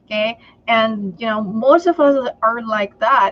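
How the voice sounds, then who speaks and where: Over noticeable background noise, a woman speaks in a Filipino accent at a fairly high pitch. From Philippines. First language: Tagalog. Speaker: entrepreneur and sales trainer. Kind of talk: interview on a live stream.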